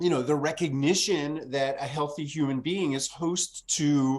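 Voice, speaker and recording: On a very clean recording with a silent background, a man with a fairly high pitch talks at a fairly slow pace with fairly even intonation. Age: 60s. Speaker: author and fermentation teacher. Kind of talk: interview conversation. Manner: halting with many fillers.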